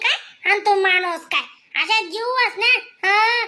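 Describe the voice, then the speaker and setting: A woman's squeaky, cartoonish character voice at an extremely high pitch. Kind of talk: cartoon comedy. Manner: fast, chattering, conspiratorial.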